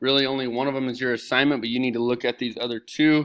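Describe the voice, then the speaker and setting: Very fast and at a medium pitch, a man speaks on a very clean recording with a silent background. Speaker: middle school teacher. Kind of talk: tutorial. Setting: recorded video lesson with screen share. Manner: animated.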